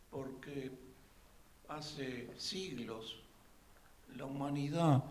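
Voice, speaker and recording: This man's dark, mellow, somewhat breathy voice moves at a very slow pace with lively intonation. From Uruguay. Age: 80s+. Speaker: audience member at a talk. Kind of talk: public comment at a talk.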